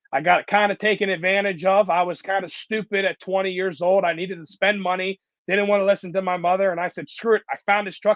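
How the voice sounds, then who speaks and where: The pace is very fast. A man speaks in a high pitch. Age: 20s. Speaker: concrete contractor. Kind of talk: interview. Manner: casual, animated.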